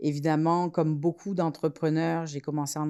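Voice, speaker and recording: Over a very clean recording with a silent background, a woman speaks in a dark, mellow tone with flat, monotone intonation. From France. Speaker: entrepreneur, incubator co-founder. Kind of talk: podcast interview.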